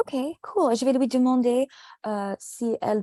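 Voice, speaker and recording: Speaking at a very slow pace, a woman has an English accent and a dark, mellow tone. The sound is dry and close, with no echo. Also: very clean recording, silent background. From United States. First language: English (speaking French). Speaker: French tutor. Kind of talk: casual chat.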